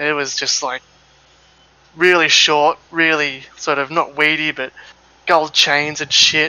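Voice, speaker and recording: A man with a fairly high pitch speaks at a very slow pace, leaving long, frequent pauses. Noticeable background noise runs behind him. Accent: Australian. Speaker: sim racing streamer. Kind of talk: casual chat. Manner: animated.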